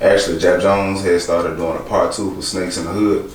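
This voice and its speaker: A man rattles off his words very fast, with audible room echo and noticeable background noise around him. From Alabama, Birmingham. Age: 20s. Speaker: rapper and actor. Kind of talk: interview.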